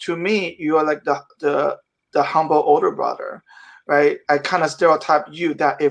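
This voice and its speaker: A normal speaking voice from a man with an American accent, fairly high in pitch, with ordinary pitch variation at a moderate pace. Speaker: casting director. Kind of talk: casual chat.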